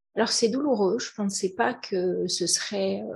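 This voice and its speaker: A woman with a medium-pitched, somewhat breathy voice is speaking. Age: 50s. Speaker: entrepreneur. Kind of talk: testimony. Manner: halting.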